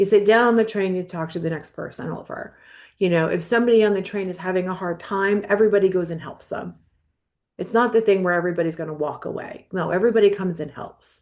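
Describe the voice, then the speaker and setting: A woman's animated, very fast delivery in an American accent at a medium pitch. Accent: New York accent, thick among the right people. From New York. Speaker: mental health counselor, podcast co-host. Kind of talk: casual chat. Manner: animated, lots of fillers.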